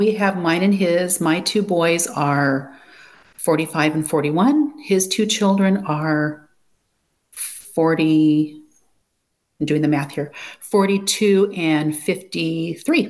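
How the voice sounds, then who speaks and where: A woman speaks at a very slow pace, fairly low in pitch with ordinary pitch variation. Her loudness stays very even. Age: 60s. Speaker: coaching program student. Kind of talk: interview.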